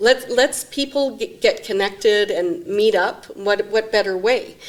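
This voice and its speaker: In an ordinary speaking voice, a woman talks at a fairly slow pace with a fairly high pitch and ordinary pitch variation. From Saskatchewan/Alberta border, Canada. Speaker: executive director of a mental health non-profit. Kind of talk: interview.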